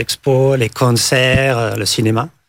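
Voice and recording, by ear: A man talks at a medium pitch with some vocal fry. His pitch moves in an ordinary way.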